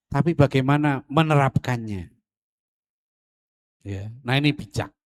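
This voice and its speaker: A man with a plain, everyday voice speaks at a medium pitch and a fairly slow pace. His pitch varies in an ordinary way, and the sound is dry and close with no echo. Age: 60s. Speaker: Islamic preacher. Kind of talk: religious lecture. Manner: casual, conversational.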